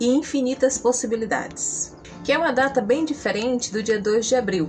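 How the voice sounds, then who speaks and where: Music plays in the background as a woman speaks with a Brazilian accent. Her pace is moderate. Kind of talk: casual talk to camera.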